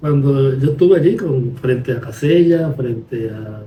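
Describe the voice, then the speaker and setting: Somewhat breathy and dark, mellow in tone, a man speaks at a fairly high pitch and a fairly slow pace. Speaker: podcast host, lawyer. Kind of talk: conversational podcast discussion.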